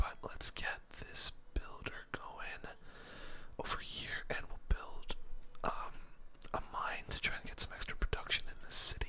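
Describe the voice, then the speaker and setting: Over clear background noise, a man whispers rather slowly. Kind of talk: gaming commentary, casual talk while playing. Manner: relaxed, conversational.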